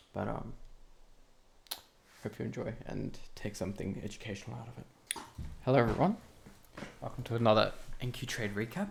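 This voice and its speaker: Quiet overall, a man speaks with big swings in loudness and long, frequent pauses. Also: fairly quick pace. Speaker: trading educator. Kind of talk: tutorial. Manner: hesitant.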